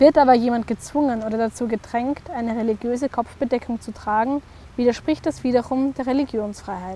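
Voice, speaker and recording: Talking at a fairly quick pace, a woman uses a high pitch and fairly even intonation. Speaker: narrator. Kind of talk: educational explainer narration.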